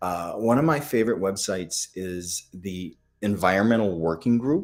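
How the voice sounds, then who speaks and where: With a Midwestern accent, a man speaks at a fairly low pitch and a moderate pace, his pitch varying in an ordinary way. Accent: American Midwestern. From US Midwest. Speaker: functional medicine doctor. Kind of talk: live Q&A webinar. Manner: hesitant, many fillers.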